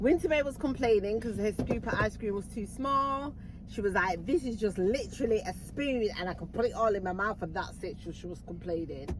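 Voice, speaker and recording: A woman at a medium pitch talks at a fairly quick pace with hardly any pauses, her tone animated and her intonation lively, over noticeable background noise. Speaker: vlogger. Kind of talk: casual chat.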